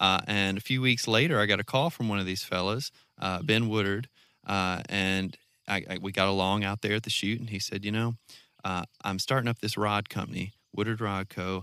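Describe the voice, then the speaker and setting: On a very clean recording with a silent background, a man with a Southern US accent talks at a fairly quick pace in a bright, sharp tone, his pitch fairly low and his intonation fairly even. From North Mississippi. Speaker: filmmaker and fly fisherman. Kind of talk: casual interview chat. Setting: outdoors.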